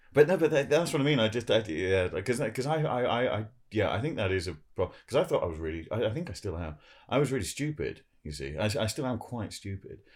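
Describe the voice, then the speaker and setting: Using vocal fry, a man at medium pitch talks at a very fast pace with very wide pitch swings. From Jersey. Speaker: comedian. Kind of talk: casual chat. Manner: halting.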